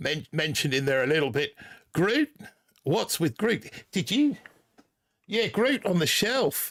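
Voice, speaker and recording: With an Australian accent and a high pitch, a man speaks in very wide pitch swings broken by long, frequent pauses. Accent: put-on Australian accent this season. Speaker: gaming streamer. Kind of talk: live stream chat. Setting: live stream. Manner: halting.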